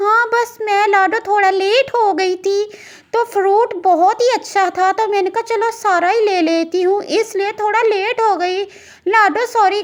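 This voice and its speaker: Woman in a cartoonish character voice, extremely high pitch, moderate pace. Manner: sweet, eager.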